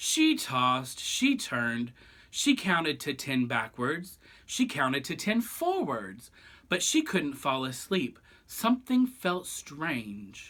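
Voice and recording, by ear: Big pitch swings at a slow pace, with a fairly bright tone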